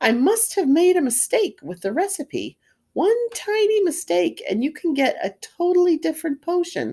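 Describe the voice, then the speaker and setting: This put-on character voice is squeaky and extremely high-pitched, moving at a moderate pace. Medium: read story. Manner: warm, theatrical.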